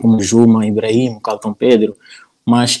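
Here is a man with a medium pitch and a dark, mellow tone. He speaks at a fairly slow pace. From northern Mozambique (Nampula). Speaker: YouTuber on African topics. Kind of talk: casual interview chat.

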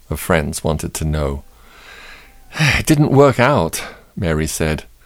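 Fairly slow delivery in a warm, upbeat tone, with music in the background. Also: man. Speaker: radio host. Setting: studio. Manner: warm, unhurried, sincere and gently upbeat, with a pastoral tone; conversational, apologizing for lack of time and teasing upcoming story.

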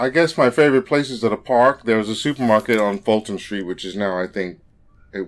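A man speaks at a fairly low pitch. His pitch varies in an ordinary way.

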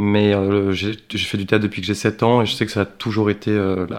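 His pitch is fairly low. The man keeps to a moderate pace. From France. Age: 30s. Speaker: actor. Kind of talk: interview. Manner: hesitant, many fillers.

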